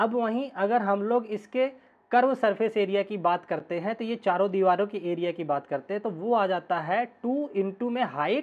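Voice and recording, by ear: Speaking at a moderate pace with few pauses, a man has a high pitch and ordinary pitch variation.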